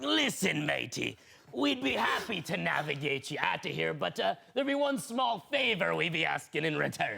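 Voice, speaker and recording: This man is using a put-on character voice. He talks at a moderate pace. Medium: stage play. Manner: hearty, swaggering.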